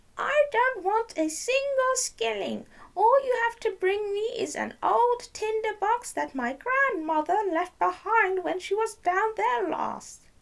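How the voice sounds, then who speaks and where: A woman puts on a squeaky character voice at an extremely high pitch, speaking at a fairly slow pace with hardly any pauses. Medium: read story. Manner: wheedling.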